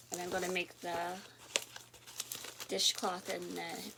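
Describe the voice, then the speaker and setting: A woman speaks at medium pitch with a bright, sharp tone. Her intonation stays fairly even. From Canada, southern Ontario. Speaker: knitting and crochet vlogger. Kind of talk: casual chat. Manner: relaxed, chatty.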